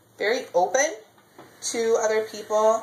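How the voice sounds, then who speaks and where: A woman speaks at a fairly slow pace with fairly even intonation. Noticeable background noise and audible room echo surround her. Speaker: baking show applicant. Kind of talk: audition video, casual self-description while baking. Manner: loud; outgoing, chatty with fillers.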